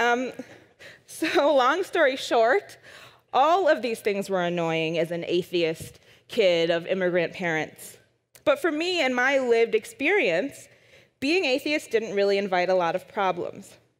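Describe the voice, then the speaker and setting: This woman has an American accent and a fairly high pitch. She speaks fairly slowly, with very wide pitch swings. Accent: Wisconsin accent, comes out when frustrated. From US Midwest, Madison, Wisconsin. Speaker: science writer and speaker. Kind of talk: conference talk. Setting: stage with audience.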